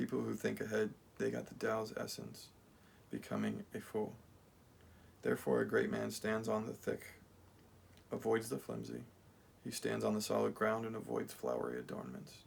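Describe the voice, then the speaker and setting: A man speaks at a moderate pace with a very deep, low voice and vocal fry. His pitch swings very widely, broken by long, frequent pauses. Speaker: channel owner reading a translation. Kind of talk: reading aloud. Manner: halting, with self-corrections.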